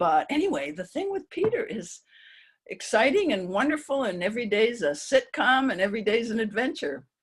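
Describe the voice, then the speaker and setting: At a moderate pace, a woman speaks at a fairly high pitch with very wide pitch swings and vocal fry. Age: 70s. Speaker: psychologist and author. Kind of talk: oral history interview.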